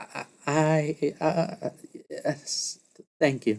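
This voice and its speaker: A man's shaky, put-on character voice, fairly high in pitch, with ordinary pitch variation. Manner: shaky, awkward, nervous.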